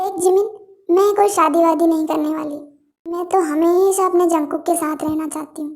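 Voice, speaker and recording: A put-on character voice at a moderate pace. The intonation stays monotone and flat. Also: woman, extremely high pitch for a woman. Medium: read story.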